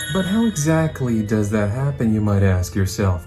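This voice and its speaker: A man's voice with lively intonation over music in the background. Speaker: voice actor. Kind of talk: casual talk to camera. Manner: casual, friendly.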